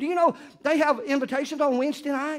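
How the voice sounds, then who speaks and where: In an American accent, a man speaks at a fairly quick pace with an extremely high pitch for a man. The background is quiet. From US South. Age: 60s. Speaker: pastor. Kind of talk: sermon. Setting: church. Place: church. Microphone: lapel.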